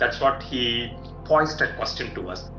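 A man speaks at a fairly slow pace with audible room echo and clear music in the background. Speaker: show host. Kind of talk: interview question. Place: home room. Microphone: video call.

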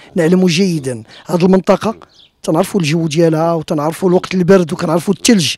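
Over a quiet background, a man talks at a fairly quick pace. His high voice has a dry sound with no echo. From Morocco. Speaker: web TV reporter. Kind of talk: interview. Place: garden. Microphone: handheld.

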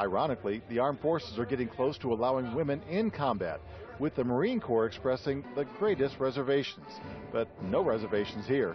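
Clear music plays behind a man who speaks at a fairly quick pace with lively intonation, the sound dry and free of echo. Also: medium pitch for a man. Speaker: TV news reporter. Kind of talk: TV news report narration.

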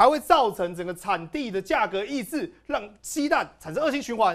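The background is quiet. A man with a high pitch speaks in very wide pitch swings. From Taiwan. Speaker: political commentator. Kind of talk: panel discussion. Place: studio.

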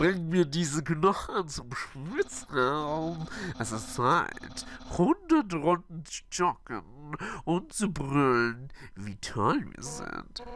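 Someone talks very slowly in a put-on character voice. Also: man, fairly high pitch for a man. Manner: loud, enthusiastic.

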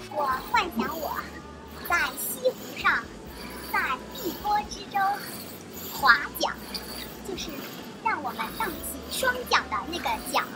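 A woman speaks at a fairly slow pace with long, frequent pauses while music plays in the background. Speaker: vlogger. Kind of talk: casual vlog chat. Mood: playful, joking.

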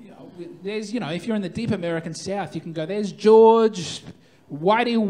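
A high-pitched man with an Australian accent at a fairly quick pace, with ordinary pitch variation and big swings in loudness. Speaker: stand-up comedian. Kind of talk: live stand-up comedy set. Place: stage. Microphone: handheld.

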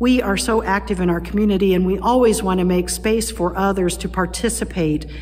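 Light background noise accompanies a woman speaking at a fairly quick pace. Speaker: pastor. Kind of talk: welcome and announcements to online worshippers. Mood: warm, welcoming. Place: church. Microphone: phone near.

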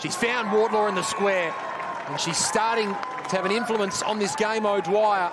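Fairly even intonation in an Australian accent, with crowd noise in the background. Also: man, high pitch for a man, moderate pace. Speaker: sports commentator. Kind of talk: live sports commentary. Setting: stadium match broadcast.

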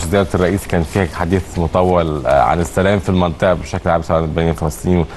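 A man's very deep, low voice at a very fast pace, fairly even in intonation, with light background noise. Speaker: TV morning show host. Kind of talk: news presenting with casual chat. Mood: cheerful, smiling. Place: studio. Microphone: lapel.

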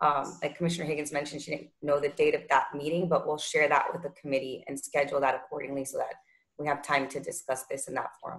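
A woman's very deep, low voice, flat and monotone, at a very fast pace. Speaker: executive director. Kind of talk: public meeting. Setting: video call. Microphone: video call.

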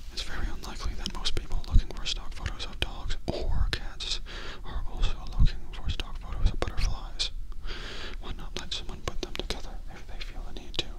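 A man is whispering. His pace is fairly quick. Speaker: comedic reviewer. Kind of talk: deadpan review commentary. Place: home room. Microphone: handheld.

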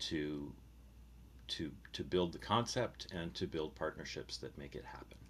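With light background noise behind him, a man talks at a moderate pace in a very deep, low voice with vocal fry and ordinary pitch variation. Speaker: arts presenter, residency curator; presenter. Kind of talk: panel discussion. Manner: reflective, halting. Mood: calm, friendly. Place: home room. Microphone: video call.

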